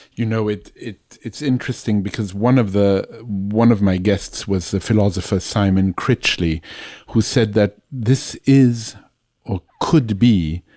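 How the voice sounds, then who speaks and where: A man's dark, mellow voice with a non-native accent, fairly low in pitch, at a fairly slow pace with ordinary pitch variation. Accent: noticeable foreign. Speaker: podcast interviewer. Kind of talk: interview conversation. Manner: repeats and stammers words.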